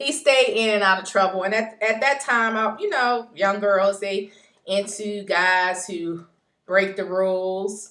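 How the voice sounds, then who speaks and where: A woman's medium-pitched, bright, sharp voice with an American accent, ordinary pitch variation and a fairly slow pace. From US South. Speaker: video blogger. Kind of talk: casual personal vlog monologue. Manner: hesitant, many ums.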